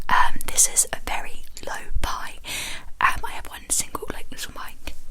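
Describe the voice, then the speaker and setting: Over noticeable background noise comes whispering at a moderate pace. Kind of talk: ASMR ramble talking to camera. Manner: whispered, soft-spoken.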